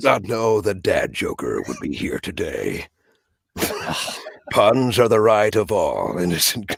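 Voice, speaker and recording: A man talks very slowly. Long pauses come often. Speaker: voice actor; movie trailer voice actor. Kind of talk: casual interview answer explaining voice technique.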